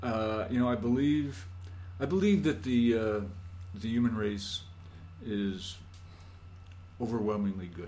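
Slowish and marked by long, frequent pauses, a man with an American accent talks at a fairly low pitch with ordinary pitch variation. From Scranton, Pennsylvania. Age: 60s. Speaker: solar hot water business owner. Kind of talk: casual interview conversation.

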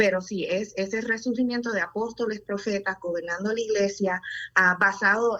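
Here is an ordinary speaking voice, a woman at medium pitch with ordinary pitch variation. She talks at a fairly slow pace. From Puerto Rico. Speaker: pediatrician. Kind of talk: testimony.

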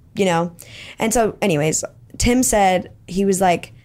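At a fairly slow pace, a woman with an American accent speaks at medium pitch with ordinary pitch variation. The recording is very clean, with a silent background. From Texas, Plano. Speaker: incoming college student. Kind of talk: podcast interview.

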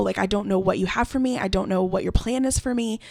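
This woman has an ordinary speaking voice, pitched in the medium range, with fairly even intonation. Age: 20s. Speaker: event coordinator. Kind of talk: casual chat.

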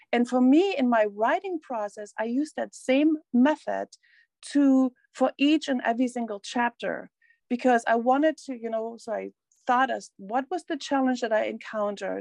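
A woman with a German accent speaks at a moderate pace in a high voice with ordinary pitch variation, the sound dry and close with no echo. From East Germany. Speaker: coach and author. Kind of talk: casual interview chat.

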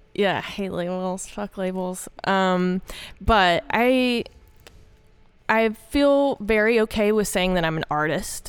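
A woman in a Southern US accent at a very slow pace, with ordinary pitch variation, on a very clean recording with a silent background. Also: medium pitch for a woman. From Arkansas. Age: 30s. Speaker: woodworker and artist. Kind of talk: casual interview chat. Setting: gallery interview in person.

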